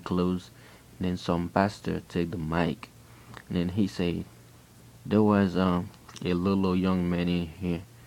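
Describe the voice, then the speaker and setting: Very slow delivery with a Haitian accent. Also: man. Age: 20s. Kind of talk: personal testimony. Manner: halting, repeating himself.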